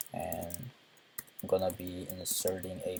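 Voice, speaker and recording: Very slow speech over noticeable background noise. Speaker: programming tutor. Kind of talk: tutorial. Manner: halting.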